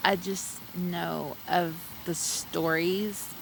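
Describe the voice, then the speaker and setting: In a Texan accent, a woman talks at a very slow pace. Noticeable background noise can be heard. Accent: Texan, light twang. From Texas. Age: 40s. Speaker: streamer. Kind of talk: casual chat. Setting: outdoors.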